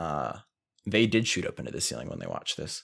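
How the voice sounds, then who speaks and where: This voice has a relaxed tone and vocal fry, moving at a fairly quick pace with ordinary pitch variation. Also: man. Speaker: podcast co-host. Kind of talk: casual banter. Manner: relaxed, joking, chatty.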